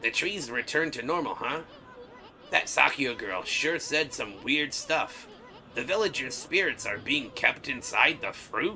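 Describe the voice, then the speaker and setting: Over clear background noise, a man does a put-on character voice, fairly high in pitch and fairly slow in pace. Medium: game stream. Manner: brash, boastful, slangy.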